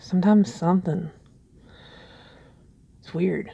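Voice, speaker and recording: Somewhat breathy, a woman talks in a dark, mellow tone with fairly even intonation. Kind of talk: ASMR soft spoken share, casual talk to camera. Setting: quiet early morning, home recording. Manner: soft-spoken, slow, hesitant.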